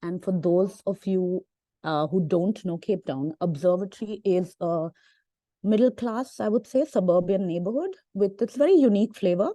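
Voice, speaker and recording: A woman speaks at a moderate pace and medium pitch in a dark, mellow tone, with ordinary pitch variation. The sound is dry and close with no echo, and the background is quiet. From India, Delhi. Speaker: academic and walk organiser. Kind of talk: panel discussion talk.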